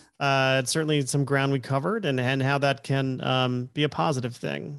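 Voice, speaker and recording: At a moderate pace and medium pitch, a man speaks in a normal speaking voice with fairly even intonation over a quiet background. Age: 40s. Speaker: podcast host. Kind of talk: interview conversation.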